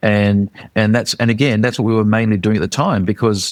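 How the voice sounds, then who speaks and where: Captured with a dry, close sound and no echo, a man talks at a fairly low pitch. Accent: Australian. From Australia, Queensland. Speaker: charity leader. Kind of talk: interview. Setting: remote call. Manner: hesitant, many fillers.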